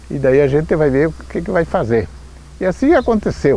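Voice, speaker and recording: The man's medium-paced speech competes with clearly noticeable background noise. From Rio Grande do Sul, Brazil. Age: 80s+. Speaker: local elder. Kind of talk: testimony.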